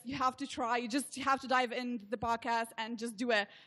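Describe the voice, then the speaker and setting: A woman talks at a fairly quick pace in a high pitch. Her tone is bright and sharp. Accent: Slovenian. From Slovenia. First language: Slovenian. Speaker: social media consultant. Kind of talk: interview.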